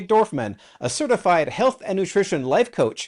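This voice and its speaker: Talking at a fairly quick pace, a man with a high pitch makes very wide pitch swings. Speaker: podcast host. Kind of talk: podcast introduction.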